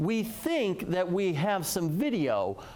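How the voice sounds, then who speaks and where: A man with an American accent, high-pitched and lively in intonation, over noticeable background noise. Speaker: TV meteorologist. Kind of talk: TV weather broadcast.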